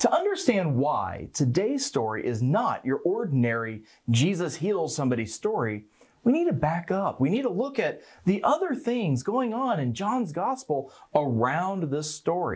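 A man's voice with very wide pitch swings at a moderate pace over a quiet background. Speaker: pastor. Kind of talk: sermon. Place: studio. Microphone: lapel.

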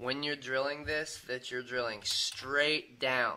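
Light background noise behind a man talking at a moderate pace. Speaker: hobbyist demonstrator. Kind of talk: tutorial. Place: home room. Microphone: camera far.

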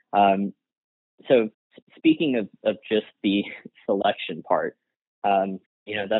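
A man is speaking. His pace is moderate. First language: Gujarati. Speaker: industrial-organizational psychologist. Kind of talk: interview conversation.

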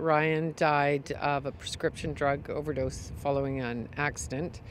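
Woman's voice, dry with no echo, with light background noise. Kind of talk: interview answer. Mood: somber, grieving but composed. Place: street.

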